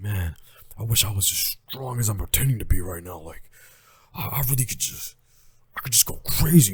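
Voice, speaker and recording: Using a put-on character voice, a man speaks at a fairly low pitch and a fairly quick pace, with lively intonation, big swings in loudness and long, frequent pauses. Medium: solo performance.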